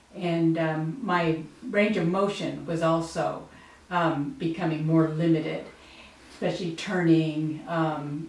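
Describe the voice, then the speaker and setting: A woman's fairly low voice at a very slow pace, with ordinary pitch variation, audible room echo and noticeable background noise. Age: 60s. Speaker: patient giving testimonial. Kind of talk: testimonial interview. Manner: hesitant, with frequent fillers.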